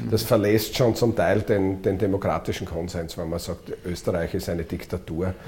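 A man speaks with a very deep, low pitch in a dark, mellow tone that is somewhat breathy. He hardly pauses. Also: ordinary pitch variation, moderate pace. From Austria, eastern Styria. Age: 50s. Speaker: politician. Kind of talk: interview.

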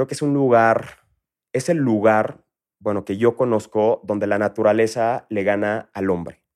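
Ordinary pitch variation with a Mexico City accent in a dry, close sound with no echo. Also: man. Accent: Mexico City (chilango). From Villahermosa, Tabasco, Mexico. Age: 30s. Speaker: entrepreneur. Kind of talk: interview.

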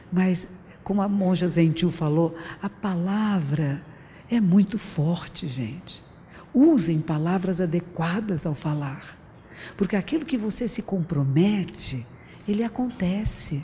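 The speech is very slow, with lively intonation. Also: woman, fairly low pitch for a woman. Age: 60s. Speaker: Buddhist teacher giving public talk. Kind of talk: public talk. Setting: stage with audience. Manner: conversational.

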